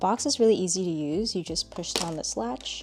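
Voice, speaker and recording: A woman speaks with lively intonation at a medium pitch and moderate pace. Noticeable background noise is present. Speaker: artist and art content creator. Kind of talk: tutorial. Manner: casual, conversational.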